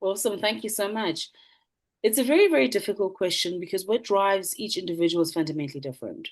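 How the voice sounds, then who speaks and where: A woman with a South African accent, very fast and with lively intonation, over a quiet background. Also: medium pitch for a woman. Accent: South African (Zulu) English. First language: isiZulu. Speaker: motivational speaker, businesswoman. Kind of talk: panel Q&A answer.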